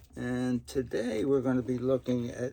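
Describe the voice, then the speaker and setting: This man has an American accent and a medium pitch. He talks at a fairly slow pace. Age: 60s. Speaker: retired government manager. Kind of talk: Bible reading with commentary. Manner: grandfatherly, conversational.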